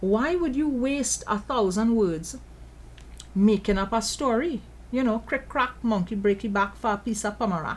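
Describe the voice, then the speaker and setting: In a Trinidadian accent, a woman with a fairly high pitch speaks at a moderate pace, somewhat breathy, with lively intonation and an animated tone. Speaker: political commentator. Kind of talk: commentary show monologue.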